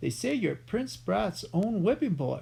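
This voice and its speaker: A man uses a booming, put-on character voice at a fairly slow pace. Clear background noise runs behind him. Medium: read story. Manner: loud, talks over others.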